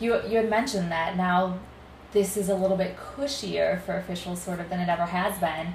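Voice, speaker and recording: A woman speaks at medium pitch with ordinary pitch variation and a moderate pace. She has an ordinary speaking voice. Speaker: guest interviewer and co-host. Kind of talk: casual interview chat.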